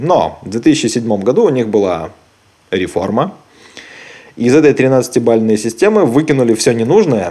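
In an unremarkable speaking voice, a man talks at a medium pitch with lively intonation. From Belarus. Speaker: podcast host. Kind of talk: casual chat.

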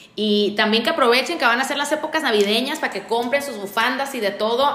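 Talking at a very fast pace with ordinary pitch variation, a woman is heard amid noticeable background noise and audible room echo. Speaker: podcast host. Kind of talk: casual interview; monologue to listeners.

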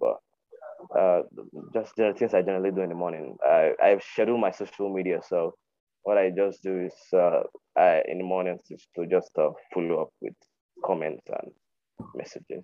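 A man speaks at a moderate pace with a Nigerian accent. His delivery has long, frequent pauses. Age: 20s. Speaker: podcast host, virtual assistant. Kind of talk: casual chat. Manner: halting.

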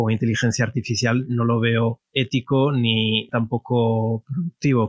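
A medium-pitched male voice, dry and close with no echo. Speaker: database creator and IT professional. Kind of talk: interview. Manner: halting, many repetitions.

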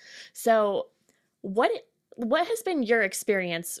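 A woman with an American accent speaks in a normal speaking voice at a fairly high pitch and a fairly slow pace, on a very clean recording with a silent background. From Connecticut, US. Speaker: podcast host. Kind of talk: guided breathing; casual chat.

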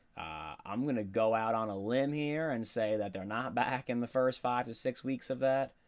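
A moderate pace comes through on a very clean recording with a silent background. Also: man, ordinary pitch variation. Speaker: football podcast host. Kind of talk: solo sports podcast monologue. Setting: home studio microphone. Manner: casual, filler-heavy.

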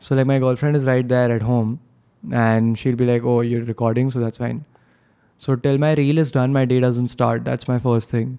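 A man speaks at medium pitch in a dark, mellow tone. His moderate-paced delivery is monotone, with flat intonation. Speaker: social media comedian. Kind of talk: casual chat. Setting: studio.

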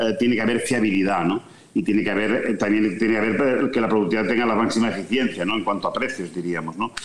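The speaker talks at a very fast pace with ordinary pitch variation. Noticeable background noise sits behind the voice. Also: man. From Catalonia, Spain (Vic). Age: 60s. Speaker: sports business executive and former journalist. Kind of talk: interview. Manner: halting, frequent repetitions.

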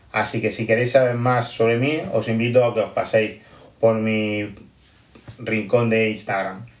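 A man's medium-pitched voice in a flat monotone, at a fairly slow pace, with audible room echo. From Almería, Spain. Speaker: primary school teacher. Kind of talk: pre-recorded audio message.

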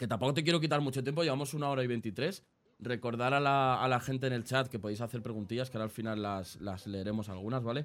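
Very fast and at medium pitch, a man rattles through his words. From Spain, Aranjuez (south Madrid). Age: 20s. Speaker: podcast and stream host. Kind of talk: casual interview.

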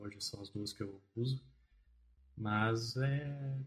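A somewhat breathy male voice at medium pitch, with fairly even intonation. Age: 20s. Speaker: back-end software developer. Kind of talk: podcast interview. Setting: studio.

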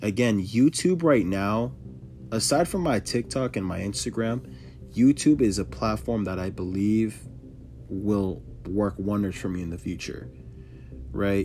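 Over music in the background, a man with a fairly low pitch talks at a fairly slow pace with very wide pitch swings and long, frequent pauses. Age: 20s. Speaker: podcast host and sneaker reseller. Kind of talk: casual solo podcast monologue. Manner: casual, filler-heavy.

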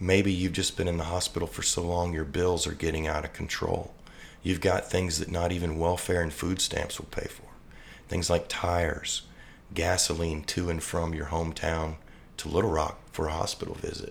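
The man's voice is very deep and low. His intonation is monotone and flat. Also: moderate pace. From Louisiana, New Orleans area. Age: 50s. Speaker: father of heart patient, charity founder. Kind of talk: testimony. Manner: slight stutter.

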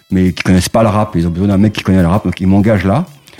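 Noticeable background noise behind a man's fairly low-pitched voice with fairly even intonation. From Paris suburbs, Val-de-Marne. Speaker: music marketing executive. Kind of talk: casual interview.

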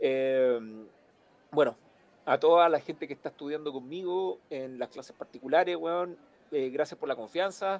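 A man with a Chilean accent speaks at a moderate pace, his fairly high voice showing ordinary pitch variation. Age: 40s. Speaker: musician and sound engineer. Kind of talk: casual interview. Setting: live stream.

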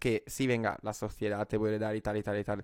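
In an Italian accent, a man speaks at a medium pitch and a moderate pace with flat, monotone intonation. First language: Italian (speaking Spanish). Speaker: podcast guest. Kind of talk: casual chat. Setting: video call. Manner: halting.

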